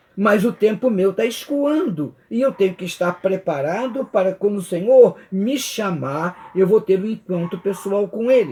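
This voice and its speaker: The man's voice is high in pitch, with a dark, mellow tone. He speaks fairly slowly with ordinary pitch variation. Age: 70s. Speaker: Bible study teacher. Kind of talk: Bible study lesson.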